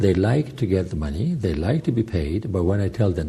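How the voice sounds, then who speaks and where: A man with an Italian-Swiss accent speaks at a moderate pace in a dark, mellow, somewhat breathy tone. His pitch swings very widely. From Italian-speaking Switzerland. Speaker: journalist and film director, charity head. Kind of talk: interview. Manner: halting.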